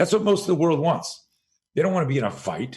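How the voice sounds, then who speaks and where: With a Canadian accent and vocal fry, a man talks at a very fast pace on a very clean recording with a silent background. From Montreal, Canada. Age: 60s. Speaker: self-defense instructor. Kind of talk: podcast interview. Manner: animated.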